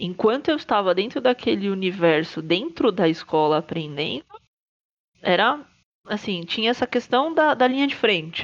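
Her voice has a medium pitch for a woman and very wide pitch swings. She talks at a moderate pace. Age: 30s. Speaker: trumpeter, conductor and music educator. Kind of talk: casual chat.

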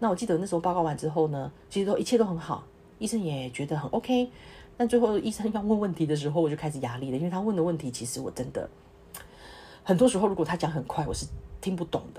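A woman speaks very fast in a fairly low, somewhat breathy voice with a dark, mellow tone. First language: not English (speaking Chinese). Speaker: clinical research associate, podcast host. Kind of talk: solo podcast talk. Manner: halting, many fillers.

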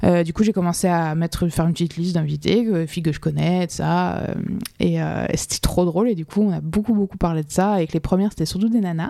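Very fast and fairly low-pitched, this woman's voice has a dark, mellow tone and fairly even intonation. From France, Alsace (Colmar). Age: 30s. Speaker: fashion model. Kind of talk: casual chat.

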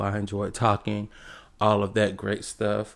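A man with an American accent speaks at a moderate pace in a very clean recording with a silent background. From South Carolina. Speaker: podcast host. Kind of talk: casual monologue. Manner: animated.

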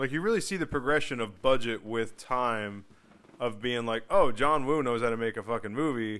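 With a normal speaking voice, a man talks at medium pitch and a moderate pace with ordinary pitch variation. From US Northeast, New Jersey. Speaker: movie podcast co-host. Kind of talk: casual chat.

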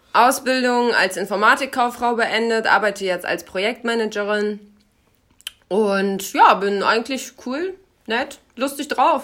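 At a very slow pace, a woman talks in a fairly high pitch with ordinary pitch variation. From Germany, Lower Rhine (Krefeld). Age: 20s. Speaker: podcast co-host, project manager. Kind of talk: casual chat.

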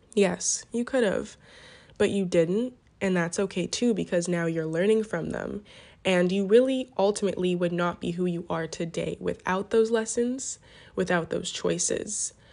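A woman speaks in an ordinary speaking voice at medium pitch with ordinary pitch variation. Her pace is moderate and the background is quiet. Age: 20s. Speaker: solo podcaster. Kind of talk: personal reflective monologue. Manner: casual, with frequent fillers.

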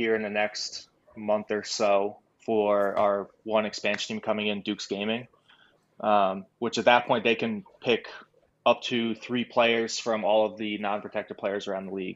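A man with an American accent speaks in a fairly low pitch. His intonation is monotone and flat at a moderate pace. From New York. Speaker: esports team coach. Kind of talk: casual interview.

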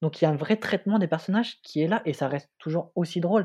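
Over a silent background in a very clean recording, a man talks at a very fast pace with a high pitch and ordinary pitch variation. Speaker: film student and podcast co-host. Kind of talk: casual chat.

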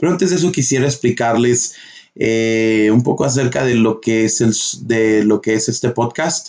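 This is an unremarkable speaking voice from a man at medium pitch. He keeps a moderate pace, very even loudness and ordinary pitch variation. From northern Mexico (Durango, Chihuahua), then US. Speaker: podcast host. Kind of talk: casual chat.

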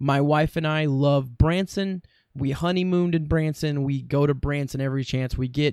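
In an unremarkable speaking voice, a man speaks at a fairly high pitch and a moderate pace with ordinary pitch variation. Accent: American. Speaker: podcast host. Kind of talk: casual solo monologue. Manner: chatty, humorous, self-deprecating.

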